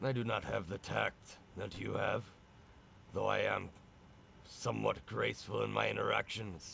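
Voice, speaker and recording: A man does a raspy, put-on character voice at a moderate pace. He takes long, frequent pauses over clear background noise. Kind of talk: old-fashioned fantasy speech. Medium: actual play. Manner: blunt, plain-spoken, archaic speech.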